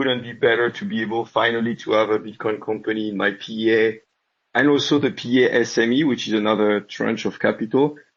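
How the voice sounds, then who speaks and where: His intonation stays fairly even. The man talks at a medium pitch. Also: fairly quick pace. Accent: French. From France. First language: French. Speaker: listener asking question. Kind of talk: Q&A question.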